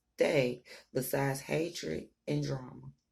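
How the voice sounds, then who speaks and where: The voice is soft-spoken and the pace fairly slow. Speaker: tarot reader. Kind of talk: tarot reading.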